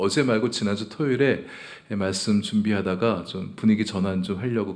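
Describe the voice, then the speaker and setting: A man speaks in a calm tone with ordinary pitch variation. Audible room echo surrounds his voice. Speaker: pastor. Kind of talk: sermon. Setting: church.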